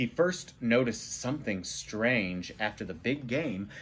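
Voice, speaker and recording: A man speaks at a fairly slow pace in a somewhat breathy voice. Light background noise is present. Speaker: storybook reader. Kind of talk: read-aloud storytelling. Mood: calm, playful storytelling. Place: home room. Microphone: phone near.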